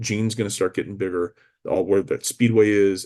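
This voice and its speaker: With an American accent and an unremarkable speaking voice, a man talks in a fairly low pitch with fairly even intonation over a quiet background. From US Midwest, Chicago. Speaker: real estate broker. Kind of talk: market update monologue. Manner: casual, with many fillers.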